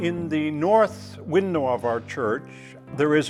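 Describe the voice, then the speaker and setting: Music plays in the background. A man talks at a very slow pace with lively intonation. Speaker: church historian. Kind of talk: documentary interview storytelling.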